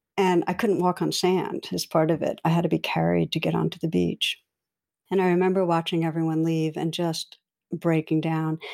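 The recording is very clean, and the background is silent. A woman delivers her words at a moderate pace. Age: 60s. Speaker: meditation teacher and clinical psychologist. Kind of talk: interview conversation. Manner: gentle.

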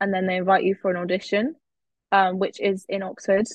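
A woman's voice in a southern English accent, medium in pitch, with fairly even intonation and a dry, close sound with no echo. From England, Cambridge. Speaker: university student. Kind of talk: casual chat.

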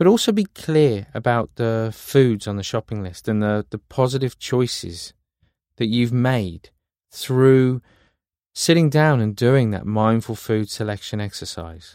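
A man with a British accent speaks at a fairly slow pace, with a medium pitch and ordinary pitch variation. The recording is very clean, with a silent background and a dry, close sound with no echo. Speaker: meditation guide. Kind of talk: guided meditation.

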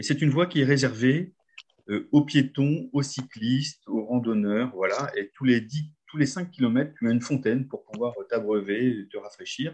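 At a fairly slow pace, a man talks in a medium pitch with a somewhat breathy voice and ordinary pitch variation. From northern France (Nord, near Lens). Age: 50s. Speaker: nordic walking coach. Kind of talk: guided visualization storytelling.

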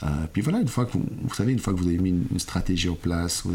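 The speech has ordinary pitch variation, with noticeable background noise present. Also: man. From Switzerland, Lausanne (Vaud). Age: 40s. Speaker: ballet company director. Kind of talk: interview.

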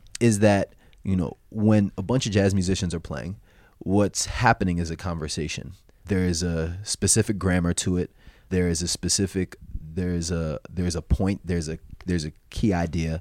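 At a moderate pace, a man speaks with fairly even intonation at a very deep, low pitch in a very clean recording with a silent background and a dry, close sound with no echo. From New Jersey (South Orange, Essex County). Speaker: jazz musician and mathematician. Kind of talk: interview, casual conversation.

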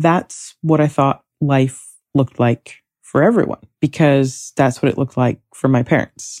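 A woman speaks at a fairly slow pace in a very deep, low pitch with ordinary pitch variation. Her loudness stays very even, and the sound is dry and close with no echo. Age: 30s. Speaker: podcast host. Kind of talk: solo podcast monologue. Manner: rambling, laughing.

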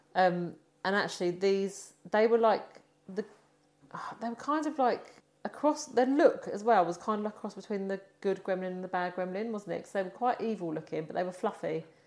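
A woman speaks at a fairly quick pace and a medium pitch with ordinary pitch variation. Her loudness swings widely. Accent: British. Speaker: podcast co-host. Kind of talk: casual chat, movie review podcast.

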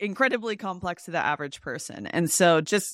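A woman talks in a normal speaking voice, fairly low in pitch, at a fairly quick pace with lively intonation, on a very clean recording with a silent background and a dry, close sound with no echo. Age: 30s. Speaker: accountant and content creator. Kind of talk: casual interview.

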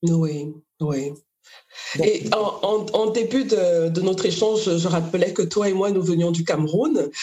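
Very slowly, a woman speaks at a medium pitch with ordinary pitch variation. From Cameroon. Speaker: podcast host, literary magazine founder. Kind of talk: interview conversation.

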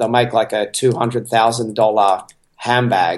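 A man's unremarkable speaking voice, pitched in the medium range, fairly even in intonation and moderate in pace. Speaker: podcast guest, entrepreneur. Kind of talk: casual interview chat. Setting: home by the beach, remote call.

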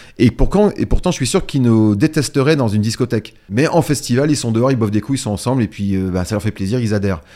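Lively intonation and a dark, mellow tone come through at a very fast pace. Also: man, medium pitch for a man. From northern France, Picardy. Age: 50s. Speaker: DJ. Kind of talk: casual interview.

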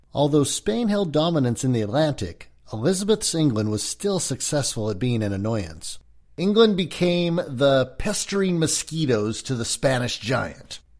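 Recorded very cleanly against a silent background, a man with an American accent speaks at a moderate pace in a fairly high pitch, his pitch swinging very widely. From California, US. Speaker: historian and actor. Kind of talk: scripted narration of a history lecture.

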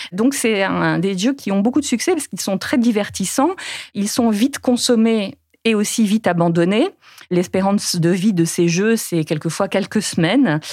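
This woman has a normal speaking voice with a medium pitch. She talks at a moderate pace with lively intonation. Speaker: journalist. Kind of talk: interview.

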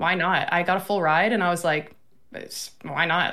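A woman with a fairly low pitch speaks in an American accent. Her tone is bright and sharp, her intonation fairly even. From Florida. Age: 20s. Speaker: streamer. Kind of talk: casual chat.

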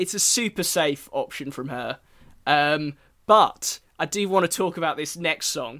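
A man with an English accent speaks at a fairly slow pace in a high pitch with a bright, sharp tone on a very clean recording with a silent background. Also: lively intonation. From England. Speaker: podcast host. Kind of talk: casual chat.

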